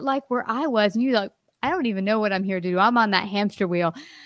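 A woman's plain, everyday voice at a fairly high pitch carries ordinary pitch variation in a dry, close sound with no echo. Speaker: podcast host. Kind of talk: casual interview.

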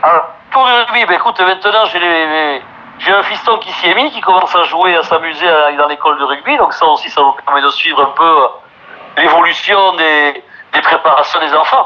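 Through noticeable background noise, a man speaks at a moderate pace. His high voice has lively intonation. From French Basque Country, Bayonne. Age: 50s. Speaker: singer and former rugby player. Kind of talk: casual interview.

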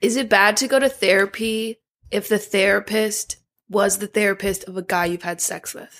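At a moderate pace and medium pitch, a woman with a plain, everyday voice keeps her intonation fairly even while her loudness swings widely. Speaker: podcast guest. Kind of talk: casual chat.

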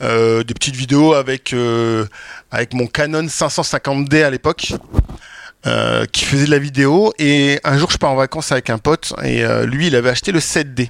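A man with an ordinary speaking voice talks at a fairly slow pace with a fairly high pitch and ordinary pitch variation. The sound is dry and close, with no echo. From France, Champagne-Ardenne. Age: 40s. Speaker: wedding filmmaker. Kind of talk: panel discussion. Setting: stage with audience.

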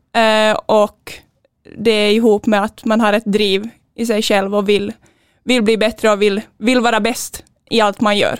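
The voice has a Finland-Swedish accent. Its intonation is monotone and flat, and the sound is dry and close with no echo. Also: woman. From Finland (Finland-Swedish), Sjundeå. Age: 20s. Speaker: handball player. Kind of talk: interview.

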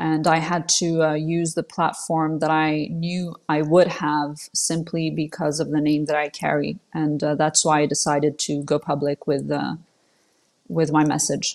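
In a very clean recording with a silent background, a woman with a French accent speaks fairly slowly in a very deep, low voice, flat and monotone. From Switzerland. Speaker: political commentator. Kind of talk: interview. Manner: hesitant, many fillers.

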